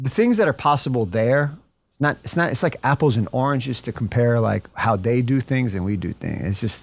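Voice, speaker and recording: Speaking at a moderate pace with lively intonation, a medium-pitched man uses an American accent in a very clean recording with a silent background. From United States. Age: 40s. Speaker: entrepreneur. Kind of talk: casual chat. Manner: halting.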